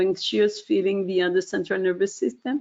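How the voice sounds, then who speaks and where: This woman talks at a moderate pace in a medium pitch. Her pitch swings very widely. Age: 60s. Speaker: webinar presenter. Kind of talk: product webinar presentation. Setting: online webinar. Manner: hesitant, many fillers.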